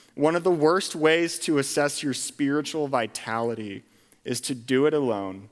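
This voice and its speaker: On a very clean recording with a silent background, a man with an American accent and an ordinary speaking voice talks at a moderate pace and medium pitch with lively intonation. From Pennsylvania, Lancaster County. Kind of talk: sermon.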